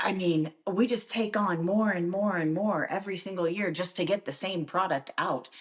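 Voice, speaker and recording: A woman's plain, everyday voice at a medium pitch, moderate in pace with hardly any pauses and ordinary pitch variation. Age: 50s. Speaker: TV host. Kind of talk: casual chat.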